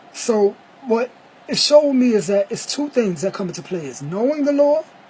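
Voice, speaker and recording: An animated man's voice at extremely high pitch, with very wide pitch swings, big swings in loudness and a moderate pace over noticeable background noise. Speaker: vlogger. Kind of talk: casual monologue.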